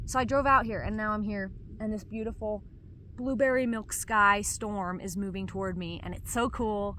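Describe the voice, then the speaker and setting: At a moderate pace, a woman talks in a medium pitch with a bright, sharp tone, and audible room echo is present. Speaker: vlogger. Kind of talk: casual monologue to camera. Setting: outdoors.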